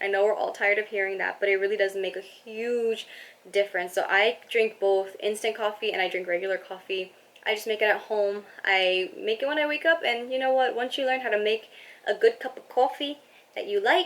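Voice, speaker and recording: A woman with an American accent, fairly high in pitch, at a fairly quick pace with ordinary pitch variation. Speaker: personal finance vlogger. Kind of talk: casual vlog monologue. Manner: fast.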